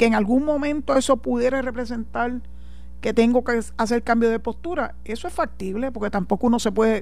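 Speaking at a moderate pace, a woman talks in a Puerto Rican accent. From Puerto Rico. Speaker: radio host and lawyer. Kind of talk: radio talk show commentary. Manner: animated.

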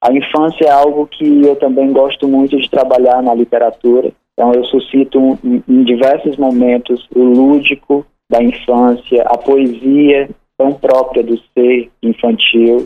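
His loudness stays very even as the man speaks in a monotone, flat intonation. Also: medium pitch for a man, fairly slow pace. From Sobral, Ceará, Brazil. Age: young. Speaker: writer. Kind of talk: radio interview. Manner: halting.

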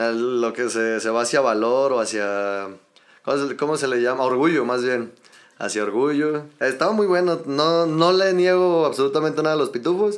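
A man talks at a moderate pace and fairly high pitch in a normal speaking voice. His intonation is lively and his loudness stays very even. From Mexico City. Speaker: podcast guest, health sector worker. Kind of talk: casual chat.

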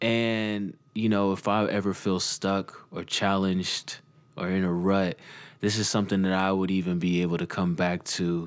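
Very deep, low male voice in a relaxed tone, fairly slow and fairly even in intonation, on a very clean recording with a silent background. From Texas, Dallas. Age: 20s. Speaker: music producer and podcast host. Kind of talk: solo podcast monologue. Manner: casual, relaxed.

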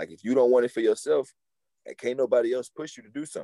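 The sound is dry and close with no echo as a man talks at a very fast pace. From Houston, Texas. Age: 20s. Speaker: semi-pro football player and rapper. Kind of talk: casual chat.

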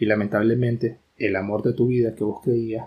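At a fairly slow pace, a man speaks at a medium pitch in a dark, mellow, somewhat breathy tone with monotone, flat intonation. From Nicaragua (Managua). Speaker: podcast co-host. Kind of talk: casual chat.

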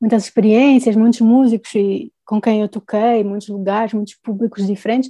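A dark, mellow tone at a moderate pace, with fairly even intonation and a dry, close sound with no echo. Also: woman. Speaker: singer-songwriter and music producer. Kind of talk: interview.

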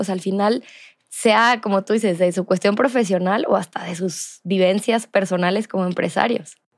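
On a very clean recording with a silent background, a woman with a Mexican accent speaks at a fairly high pitch and a moderate pace, with ordinary pitch variation. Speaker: podcast host and entrepreneur. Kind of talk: casual interview.

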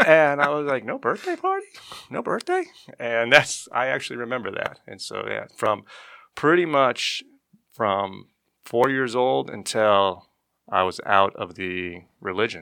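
A man with an American accent in an ordinary speaking voice, medium pitch, a moderate pace, and big swings in loudness, on a very clean recording with a silent background. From Arizona, Lake Havasu City. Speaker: parishioner, former Jehovah's Witness. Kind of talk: casual chat.

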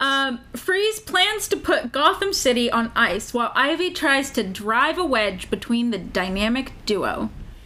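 With noticeable background noise behind her, a woman uses a raised, projected voice at a high pitch, speaking at a fairly slow pace with very wide pitch swings. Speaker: podcast co-host. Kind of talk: casual chat; reading a plot summary aloud. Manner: loud, projecting.

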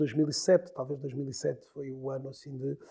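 The tone is dark and mellow. It belongs to a man. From northern Portugal, Porto. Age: 40s. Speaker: LinkedIn consultant. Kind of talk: interview. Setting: studio.

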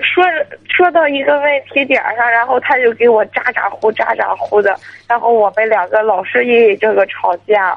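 With a plain, everyday voice, a woman speaks at a fairly high pitch with lively intonation and very even loudness. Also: moderate pace. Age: 20s. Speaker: caller. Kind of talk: phone-in advice call.

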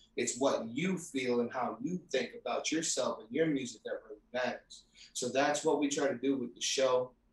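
Somewhat breathy, a man speaks at a moderate pace. His fairly high pitch shows ordinary variation. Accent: New York. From New York City. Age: 30s. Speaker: rap artist and record label owner. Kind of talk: casual interview.

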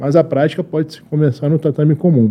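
This man has a fairly high pitch and a dark, mellow tone. He speaks at a moderate pace. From Lebanon. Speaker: Olympic wrestler and coach. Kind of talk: casual interview.

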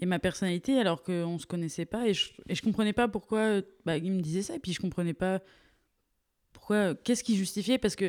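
A woman of medium pitch at a fairly quick pace, with ordinary pitch variation, on a very clean recording with a silent background. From Paris region, France. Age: 20s. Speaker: art student. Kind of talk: casual chat. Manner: halting.

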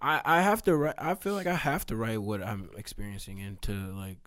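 In a plain, everyday voice, a man with an American accent talks at a fairly quick pace with ordinary pitch variation on a very clean recording with a silent background. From Texas (Katy, Houston area). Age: 20s. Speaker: podcast host. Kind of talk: casual chat.

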